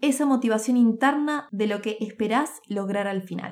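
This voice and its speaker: Her voice unremarkable, a woman speaks slowly-ish at a fairly high pitch with ordinary pitch variation. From Uruguay, Montevideo. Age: 20s. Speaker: podcast host and business author. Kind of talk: reading aloud from own book.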